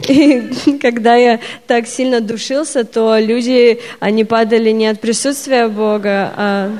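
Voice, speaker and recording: Against noticeable background noise, a woman speaks at a very slow pace with a fairly high pitch and fairly even intonation. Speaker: Russian interpreter. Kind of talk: consecutive interpreting of a sermon. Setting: church stage with audience.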